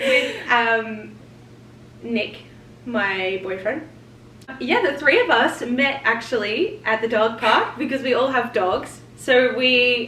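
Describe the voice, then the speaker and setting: A woman's very slow, high-pitched speech in an Australian accent, with ordinary pitch variation, audible room echo and noticeable background noise. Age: 20s. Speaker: vlogger. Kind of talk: casual chat.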